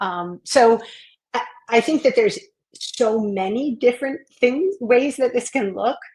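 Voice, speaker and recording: In a plain, everyday voice, a woman with an American accent talks at a moderate pace with ordinary pitch variation. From US Northeast, Maine. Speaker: educator and school belonging consultant. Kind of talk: interview.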